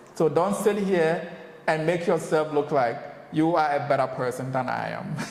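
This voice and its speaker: This man's voice sits fairly high, with ordinary pitch variation and a moderate pace. The room echoes audibly, and background noise is noticeable. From Ghana. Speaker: business owner, returnee from the diaspora. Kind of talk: casual interview chat.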